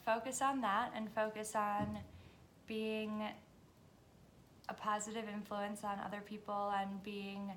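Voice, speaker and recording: A woman speaks very slowly in a fairly high, flat monotone, with audible echo in the room. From US, Washington DC area (born in Hungary). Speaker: vlogger. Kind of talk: casual monologue.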